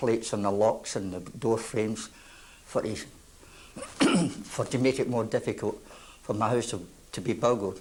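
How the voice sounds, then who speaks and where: There is noticeable background noise as a man speaks at a medium pitch with fairly even intonation. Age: 60s. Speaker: local resident. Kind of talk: testimony.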